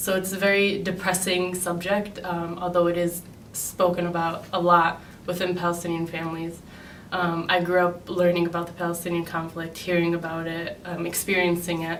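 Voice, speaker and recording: Monotone, flat intonation in a Chicago accent, with audible room echo. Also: woman, fairly low pitch for a woman, moderate pace. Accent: Chicago American. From US Midwest, Chicago. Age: 20s. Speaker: graduate student. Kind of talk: interview. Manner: hesitant, many um fillers.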